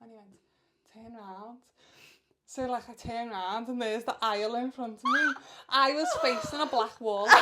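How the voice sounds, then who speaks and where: Speaking with a northern English accent, a woman with a high pitch and ordinary pitch variation leaves long, frequent pauses. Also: moderate pace, big swings in loudness. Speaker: podcast co-host. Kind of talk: casual chat. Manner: loud; animated.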